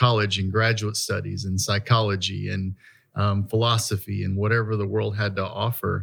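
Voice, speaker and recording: The recording is very clean, with a silent background. A man with fairly low pitch talks at a fairly quick pace in a monotone, flat intonation. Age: 50s. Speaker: pastor. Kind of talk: casual chat.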